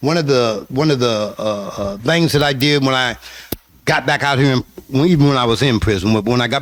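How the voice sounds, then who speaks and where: Through noticeable background noise, a man speaks at medium pitch with ordinary pitch variation. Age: 60s. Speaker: formerly incarcerated man, prison reform advocate. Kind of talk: radio interview. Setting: radio studio. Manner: halting, frequent filler words.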